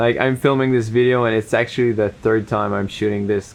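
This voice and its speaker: Against noticeable background noise, the speaker uses fairly even intonation with a non-native accent. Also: man. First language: not English. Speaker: videographer and photographer vlogger. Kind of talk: unscripted talk to camera. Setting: home setup facing camera. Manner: hesitant, halting; runs out of breath while talking.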